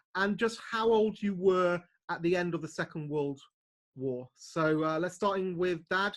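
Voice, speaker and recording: Speaking with a British accent, a man has a high pitch. He talks at a fairly slow pace. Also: ordinary pitch variation. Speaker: channel owner interviewing his parents. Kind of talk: casual family interview.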